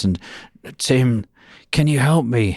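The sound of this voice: On a very clean recording with a silent background, a man puts on a gravelly character voice at a medium pitch.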